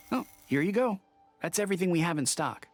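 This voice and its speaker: At a fairly quick pace, a put-on character voice at a middle pitch plays over faint music in the background. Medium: video game.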